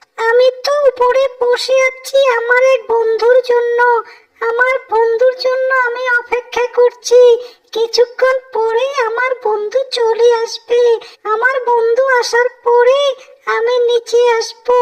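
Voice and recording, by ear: A woman puts on a cartoonish character voice at an extremely high pitch. She delivers it slowly, in a flat monotone.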